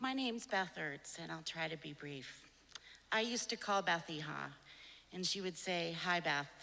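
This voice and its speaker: Her tone bright and sharp, a woman with a fairly low pitch and vocal fry talks at a moderate pace with lively intonation. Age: 60s. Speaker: nurse. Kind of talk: eulogy.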